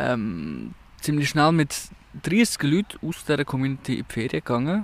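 Long, frequent pauses break up this man's speech, which moves at a moderate pace with lively intonation. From Switzerland, canton of Zug. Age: 20s. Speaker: podcaster. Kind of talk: casual chat. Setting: outdoors.

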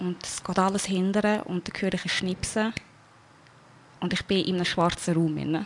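Her medium-pitched voice is monotone and flat as this woman talks at a moderate pace with long, frequent pauses. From Switzerland. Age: 20s. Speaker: near-death experience survivor. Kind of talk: personal testimony interview.

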